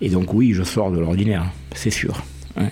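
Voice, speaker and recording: A man with a very deep, low voice and ordinary pitch variation speaks over noticeable background noise. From southern France, Aveyron. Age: 60s. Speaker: history teacher. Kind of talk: interview. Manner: hesitant.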